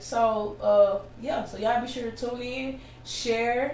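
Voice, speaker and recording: A woman's fairly high voice in audible room echo. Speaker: podcast host. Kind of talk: interview. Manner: loud.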